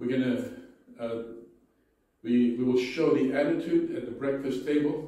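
A man's monotone, flat delivery in strong room echo. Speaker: pastor. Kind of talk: sermon. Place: church.

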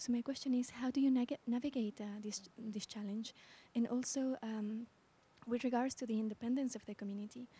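At a fairly quick pace, a woman speaks with a high pitch and a dark, mellow tone. Her intonation stays monotone and flat. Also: dry sound with no echo. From Bolivia. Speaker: audience member, social environmental analyst. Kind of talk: audience question. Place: hall. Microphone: handheld.

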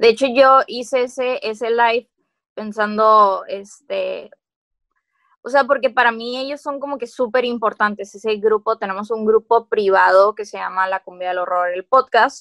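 Someone speaks with a Mexican accent at a fairly slow pace. Intonation stays fairly even over a quiet background. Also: woman, fairly high pitch for a woman. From Mexico. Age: 20s. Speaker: podcast host and coffee shop owner; podcast host. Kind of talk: casual chat. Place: home room. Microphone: video call.

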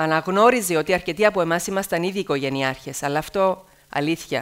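A fairly quick pace with ordinary pitch variation. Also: woman. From Cyprus, Athienou; Cyprus. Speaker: TV news presenter. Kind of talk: speech to students. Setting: stage with audience. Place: hall. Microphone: headset.

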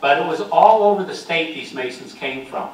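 With an American accent, the speaker keeps a moderate pace over audible room echo and light background noise. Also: man. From US Northeast. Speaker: local history presenter. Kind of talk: slideshow lecture to audience. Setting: meeting room with live audience. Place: hall.

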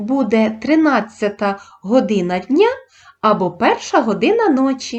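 A woman with an unremarkable speaking voice, fairly high in pitch, with lively intonation and a fairly slow pace. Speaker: primary school teacher. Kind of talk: tutorial. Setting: video lesson. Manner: formal.

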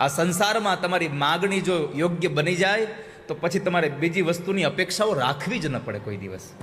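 There is noticeable background noise. A man talks in a high voice with ordinary pitch variation. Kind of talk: religious discourse.

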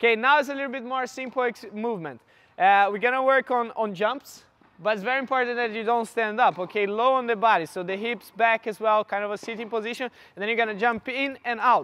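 In a raised, projected voice, a man speaks at a fairly quick pace with a bright, sharp tone. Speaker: fitness coach. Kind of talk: coaching instruction. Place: hall.

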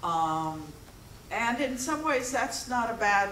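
Ordinary pitch variation is heard with audible room echo. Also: woman, fairly bright tone.

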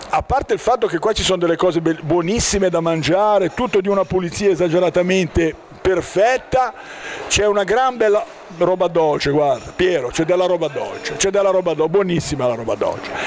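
A high-pitched male voice at a fairly quick pace over light background noise. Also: ordinary pitch variation. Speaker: local TV interviewer. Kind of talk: interview, promotional commentary. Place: bar. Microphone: handheld.

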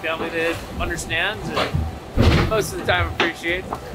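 A man keeps up a fairly quick pace. Music sits in the background. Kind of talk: reflective interview answer. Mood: moved, reflective. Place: boat.

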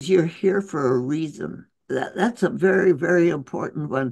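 A woman with an American accent speaks at a very slow pace, with lively intonation and vocal fry. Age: 80s+. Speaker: physician and author. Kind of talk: interview answer.

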